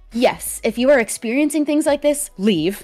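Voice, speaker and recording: Background music beneath a voice with very wide swings in pitch. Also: woman. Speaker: fellow streamer. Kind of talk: serious conversation about abuse and healing.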